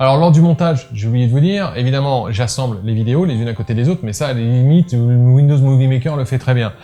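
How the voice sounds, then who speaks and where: Talking at a very fast pace, a man speaks with a medium pitch. His pitch variation is ordinary. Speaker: photography tutorial youtuber. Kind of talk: casual behind-the-scenes talk to viewers. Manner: hesitant, many filler sounds.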